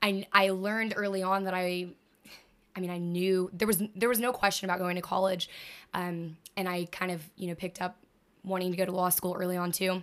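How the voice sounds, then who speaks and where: A woman with an American accent speaks at a fairly quick pace and medium pitch. Her intonation is monotone and flat. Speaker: college student. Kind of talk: casual chat.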